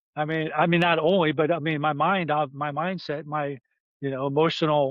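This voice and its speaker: Using an ordinary speaking voice, a man moves at a fairly quick pace with fairly even intonation. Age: 60s. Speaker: retired navy veteran and patient advocate. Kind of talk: podcast interview. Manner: fast, rambling with self-interruptions.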